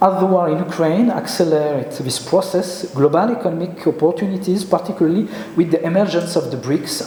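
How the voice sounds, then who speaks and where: Fairly quick speech from a high-pitched man with a French accent, with audible room echo and noticeable background noise. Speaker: geopolitical expert. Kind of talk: conference presentation. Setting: conference with audience. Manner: halting.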